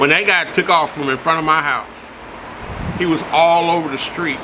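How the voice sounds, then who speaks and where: A man talks at a moderate pace and a fairly high pitch, with noticeable background noise behind him. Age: 60s. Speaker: car mechanic and YouTuber. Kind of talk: casual personal talk to camera. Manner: halting, many fillers and repeats.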